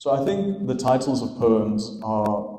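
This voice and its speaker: A man speaks with a dark, mellow tone. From South Africa, Romanian-born. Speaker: poet. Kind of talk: book launch interview. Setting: live event with audience.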